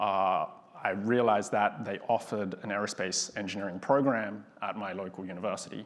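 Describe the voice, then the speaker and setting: A man with an Australian accent. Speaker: aerospace engineer, panelist. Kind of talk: panel discussion.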